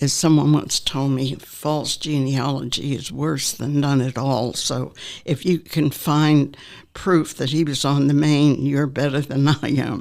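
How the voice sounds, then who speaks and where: Fairly slow speech comes with an American accent and fairly even intonation. The recording is very clean, with a silent background. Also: woman. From Norfolk, Virginia. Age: 80s+. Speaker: retirement community resident. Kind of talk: life story interview. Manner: halting, with frequent fillers.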